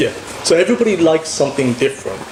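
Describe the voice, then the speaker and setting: Over noticeable background noise, a man with a British accent speaks with ordinary pitch variation. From England. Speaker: podcast host. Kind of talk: casual chat.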